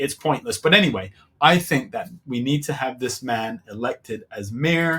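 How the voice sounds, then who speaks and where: Speaking at a fairly slow pace, a man uses an ordinary speaking voice at a medium pitch. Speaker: political reaction video host. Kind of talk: reaction commentary.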